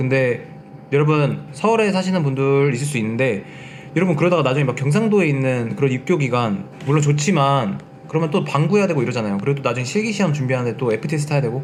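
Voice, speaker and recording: A man talks very fast at a fairly high pitch, with noticeable background noise and audible room echo. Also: lively intonation. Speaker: online lecturer for railway safety law exam. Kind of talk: lecture. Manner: casual, mixing polite and plain speech.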